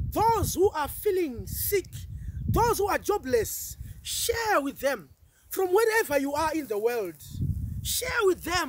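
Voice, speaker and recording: At a very slow pace with long, frequent pauses, a man speaks in an extremely high pitch with very wide pitch swings, in a dry sound with no echo and light background noise. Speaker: preacher. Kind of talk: fervent intercessory prayer, rebuking the spirit of fear with repeated petitions; sermon. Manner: urgent, insistent repetition of phrases like I come against; stammering, building intensity, mixing in Swahili words. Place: open country.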